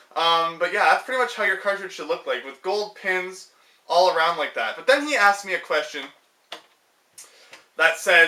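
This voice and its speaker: Raising and projecting his high-pitched voice, a man talks at a moderate pace with ordinary pitch variation. He takes long, frequent pauses, and his loudness swings widely. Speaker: gaming youtuber. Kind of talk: casual tutorial vlog. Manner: hesitant, many fillers.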